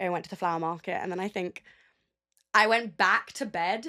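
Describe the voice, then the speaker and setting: Speaking at a very fast pace, a woman with a London accent has a medium pitch and a bright, sharp tone. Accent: British (London). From England, London. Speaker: audio producer. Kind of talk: interview.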